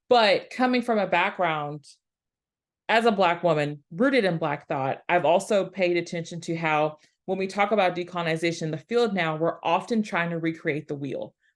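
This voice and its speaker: A woman with a Southeast Texas accent, fairly low-pitched and fairly quick, over a quiet background. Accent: Southeast Texas accent, clearly noticeable. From US South, rural Southeast Texas. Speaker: historian, academic. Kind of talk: panel presentation.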